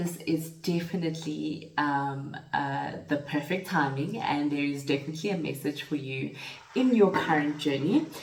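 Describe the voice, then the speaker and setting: Noticeable background noise and audible room echo surround a woman speaking at a moderate pace. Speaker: tarot reader. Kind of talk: spiritual tarot reading. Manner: halting, with fillers.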